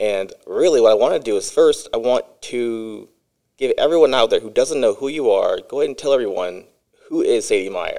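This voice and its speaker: With a Midwestern US accent, a man speaks at a fairly quick pace. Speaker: podcast host. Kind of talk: casual interview chat.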